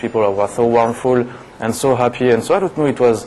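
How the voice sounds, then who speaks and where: A man's medium-pitched voice in a French accent, very fast with fairly even intonation, over noticeable background noise. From France, Paris. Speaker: TV show guest, French expat. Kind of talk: casual interview chat.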